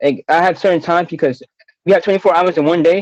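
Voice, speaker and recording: A man speaks with an American accent and a high pitch. The sound is dry and close, with no echo. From New York, Harlem. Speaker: college graduate, writer, basketball player. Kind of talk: radio interview. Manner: stutters; halting with many fillers.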